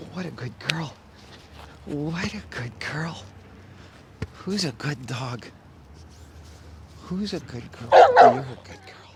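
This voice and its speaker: Over noticeable background noise, a man with a fairly high pitch speaks very slowly, with lively intonation, big swings in loudness, and long, frequent pauses. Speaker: dog trainer. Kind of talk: tutorial.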